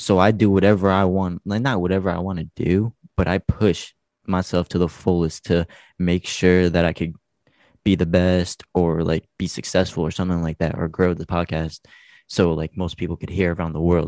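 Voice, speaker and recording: Against a quiet background, a man with a New Jersey accent speaks in a very deep, low pitch, monotone and flat, at a moderate pace, with a dry, close sound and no echo. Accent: New Jersey American. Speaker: podcast host, guest. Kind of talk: casual chat.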